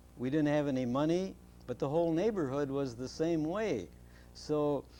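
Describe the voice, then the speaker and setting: Pitched fairly high with a dark, mellow tone, this man's voice shows ordinary pitch variation against audible room echo. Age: 80s+. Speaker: interviewee, father of the host. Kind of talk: casual interview. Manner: halting.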